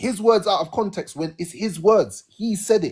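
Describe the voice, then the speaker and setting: The man's voice is high in pitch and animated. His pace is moderate. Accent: British. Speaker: live stream host. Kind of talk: heated debate.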